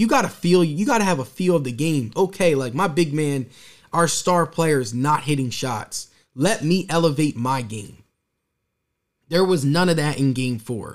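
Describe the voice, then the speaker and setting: The speaker talks at a moderate pace with lively intonation. The recording is very clean, with a silent background. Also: man. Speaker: sports podcast host. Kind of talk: solo sports talk livestream podcast. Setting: live stream on Twitch.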